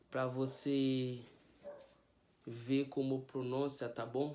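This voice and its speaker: A man with a Haitian Creole accent, long, frequent pauses and audible room echo. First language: Haitian Creole (speaking Portuguese). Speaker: language teacher youtuber. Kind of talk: tutorial. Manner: casual.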